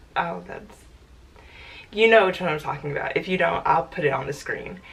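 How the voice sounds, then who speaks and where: A woman at a fairly quick pace, with noticeable background noise behind her. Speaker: booktuber. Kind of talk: casual vlog talk.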